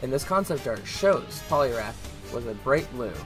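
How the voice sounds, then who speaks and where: With music in the background, a man speaks at a moderate pace with a medium pitch and lively intonation. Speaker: video game commentator. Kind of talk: casual talk to camera.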